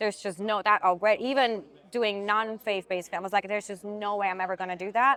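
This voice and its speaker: A woman with a slight Swiss accent speaks at a very fast pace in a bright, sharp tone. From Switzerland. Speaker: actress. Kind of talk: interview conversation.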